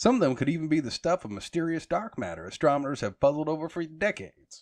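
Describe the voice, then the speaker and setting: A man with a Texan accent talks at a very fast pace in a fairly high voice, with a quiet background behind him. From Texas. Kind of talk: magazine article reading.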